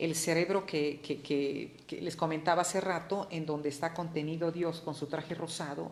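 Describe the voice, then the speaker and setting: Her fairly low voice moves at a fairly slow pace, and the woman's intonation stays monotone and flat. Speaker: art history speaker. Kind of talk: informal lecture. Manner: halting, many repeated words.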